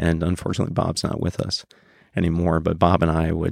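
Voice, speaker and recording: Delivered at a fairly quick pace in an American accent, the speech has a monotone, flat intonation and a dry, close sound with no echo. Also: man. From northern rural Wisconsin. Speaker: writer and tour guide. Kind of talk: interview.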